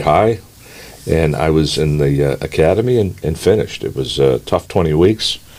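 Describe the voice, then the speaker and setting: A man with a very deep, low voice speaks at a moderate pace in an American accent, with ordinary pitch variation and noticeable background noise. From Massachusetts (Andover). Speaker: party chairman, former state trooper. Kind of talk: podcast interview. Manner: halting, many fillers.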